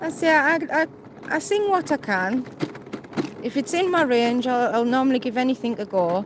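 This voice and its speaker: A woman with a Cumbrian accent speaks at a moderate pace in a high voice with very wide pitch swings. Long, frequent pauses break up her speech, and noticeable background noise is present. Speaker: mobility vlogger, wheelchair user. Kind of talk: live stream casual chat. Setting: outdoors, on the promenade.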